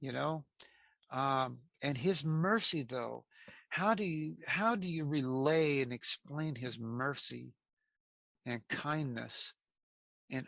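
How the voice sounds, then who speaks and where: Recorded very cleanly against a silent background, a man with an American accent speaks in a bright, sharp tone at a fairly high pitch, with ordinary pitch variation and a dry, close sound with no echo. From US Pacific Northwest (Aberdeen, Washington). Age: 60s. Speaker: interviewee sharing life story, former prisoner. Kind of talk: interview testimony. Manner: halting, many fillers and repetitions.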